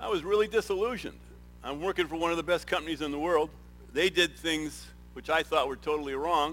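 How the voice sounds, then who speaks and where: Over music in the background, a man with a fairly high pitch speaks very fast. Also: ordinary pitch variation. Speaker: retired business executive, nonprofit volunteer. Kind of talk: testimony. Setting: stage with audience. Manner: halting.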